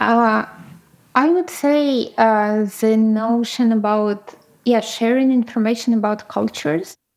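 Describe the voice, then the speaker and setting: A woman speaks very slowly in a Ukrainian accent, her pitch fairly high. Her loudness stays very even, and her pitch moves in an ordinary way. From Ukraine. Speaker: product designer and community founder. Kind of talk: interview.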